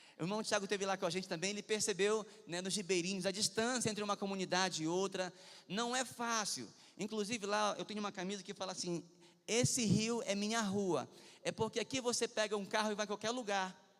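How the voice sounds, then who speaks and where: Speaking fairly quickly with a Pará accent, a man holds a high pitch and fairly even intonation. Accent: Pará accent from Santarém. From Brazil, Pará (Santarém). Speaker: pastor. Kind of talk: sermon.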